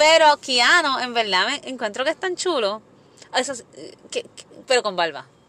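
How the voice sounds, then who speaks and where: A woman uses a raised, projected voice, high in pitch, at a moderate pace. Her pitch swings very widely and her loudness swings a lot, with long, frequent pauses. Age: 30s. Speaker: podcast host. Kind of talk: casual chat.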